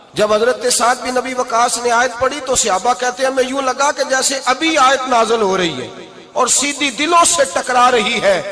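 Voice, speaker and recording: The voice is raised and projected, with fairly even intonation. Noticeable background noise runs underneath. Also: man, extremely high pitch for a man. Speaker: Islamic preacher. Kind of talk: Islamic sermon. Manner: emotional, passionate.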